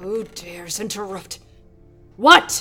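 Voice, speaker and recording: A woman uses a put-on character voice at a medium pitch. Clear music plays in the background. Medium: audio drama. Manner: imperious, cold.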